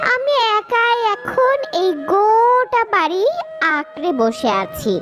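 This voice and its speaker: Putting on a cartoonish character voice, a woman speaks very slowly at an extremely high pitch over clear background music. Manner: stern, secretive.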